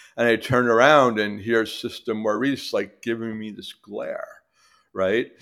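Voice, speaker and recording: Speaking in a New York accent at a medium pitch, a man talks at a fairly slow pace with monotone, flat intonation and big swings in loudness. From New York City, Queens. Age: 60s. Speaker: recovering alcoholic with long-term sobriety. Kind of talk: personal recovery story in casual interview. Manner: halting, many fillers.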